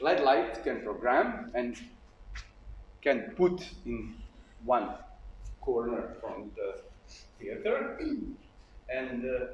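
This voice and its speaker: Through audible room echo, a man speaks at a very slow pace with long, frequent pauses. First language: Bosnian/Serbian. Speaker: puppet theater actor. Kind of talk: lecture. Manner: halting.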